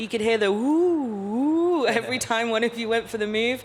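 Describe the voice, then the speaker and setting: With audible room echo, a woman speaks at a moderate pace in a fairly high pitch. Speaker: press conference moderator. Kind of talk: press conference.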